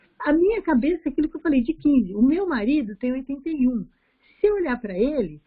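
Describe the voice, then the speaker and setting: A woman speaks in a high voice that makes very wide pitch swings. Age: 60s. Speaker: study group participant. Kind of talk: casual chat.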